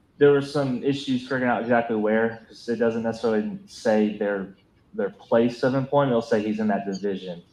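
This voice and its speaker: A man with an ordinary speaking voice, medium pitch, ordinary pitch variation and a fairly quick pace. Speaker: police officer witness. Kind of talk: courtroom testimony. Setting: courtroom.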